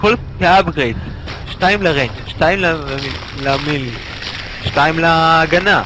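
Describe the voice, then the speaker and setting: At a fairly slow pace, a man with a fairly high pitch and ordinary pitch variation speaks in an animated tone, leaving long, frequent pauses. Noticeable background noise runs underneath. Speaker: esports commentator. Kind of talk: live esports commentary, casual banter with co-commentator. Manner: animated, excitable, exclaiming at fights and reacting to the action.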